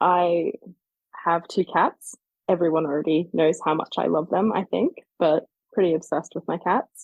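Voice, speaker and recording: This woman has a fairly low pitch and fairly even intonation, speaking with an Australian accent. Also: moderate pace. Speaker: fan fiction author. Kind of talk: interview.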